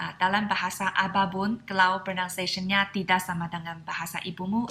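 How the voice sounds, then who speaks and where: The speaker has a Mandarin Chinese accent. The tone is bright and sharp. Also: woman. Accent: Mandarin Chinese accent in Indonesian. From China. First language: Mandarin Chinese (speaking Indonesian). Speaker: Mandarin teacher and vlogger. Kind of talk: casual tutorial.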